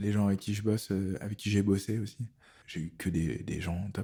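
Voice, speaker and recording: A man's fairly quick, somewhat breathy voice, fairly low in pitch, with a dark, mellow tone. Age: 40s. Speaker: tattoo artist. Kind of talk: casual interview.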